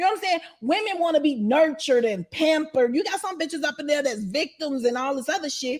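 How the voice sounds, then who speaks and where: Over noticeable background noise, a high-pitched woman talks very fast in an animated tone with lively intonation and hardly any pauses. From Chicago. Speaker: interviewee, former inmate and YouTuber. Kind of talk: casual interview.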